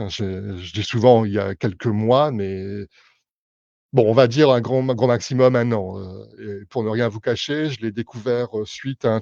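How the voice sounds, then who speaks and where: A dark, mellow voice with fairly even intonation speaks at a fairly slow pace, recorded dry and close with no echo against a quiet background. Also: man, medium pitch for a man. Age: 50s. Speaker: tarot reader and clairvoyant. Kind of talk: live stream explanation to viewers. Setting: live Facebook stream. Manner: hesitant, many fillers.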